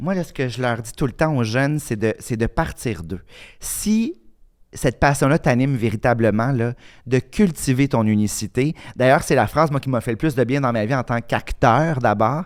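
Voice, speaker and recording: A man at medium pitch, with ordinary pitch variation and a moderate pace, on a very clean recording with a silent background. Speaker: author and actor. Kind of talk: casual chat.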